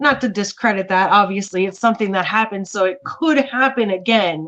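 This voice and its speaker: A woman with an American accent speaks in an ordinary speaking voice at a medium pitch, her pitch rising and falling in an ordinary way. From Miami, Florida. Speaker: artist. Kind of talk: casual chat.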